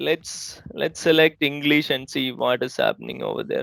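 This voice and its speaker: In a dry, close sound with no echo, a man with a Keralan accent speaks at a fairly slow pace. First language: Malayalam. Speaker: IT trainer. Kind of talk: tutorial. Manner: halting, with frequent repetitions.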